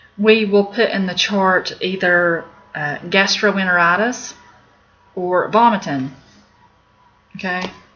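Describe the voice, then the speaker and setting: Speaking very slowly with long, frequent pauses, a woman of medium pitch talks in an Appalachian accent. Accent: Appalachian, noticeable. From Appalachia, US. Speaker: medical terminology teacher. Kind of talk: video lesson. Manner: casual, with fillers.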